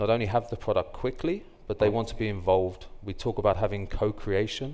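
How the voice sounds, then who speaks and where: Dark and mellow in tone, a man's fairly low voice moves at a fairly quick pace with ordinary pitch variation. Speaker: guest. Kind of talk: interview answer. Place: stage. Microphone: headset.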